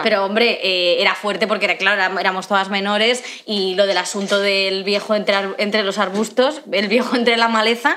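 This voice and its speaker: A woman of medium pitch speaks at a fairly quick pace with hardly any pauses, very even loudness and fairly even intonation, against light background noise. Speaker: podcast co-host. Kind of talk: casual comedy podcast conversation. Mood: amused storytelling. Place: home room. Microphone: studio mic.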